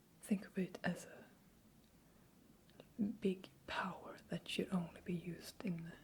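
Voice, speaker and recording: Someone whispers at a very slow pace. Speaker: Swedish language teacher. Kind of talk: language-teaching ASMR, soft-spoken. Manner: soft-spoken, whispering.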